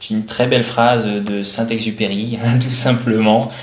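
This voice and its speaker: A man talks in a monotone with flat intonation. Room echo is audible and background noise is noticeable. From France, with Dutch roots. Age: 30s. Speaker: eco caterer and business owner. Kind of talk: radio interview.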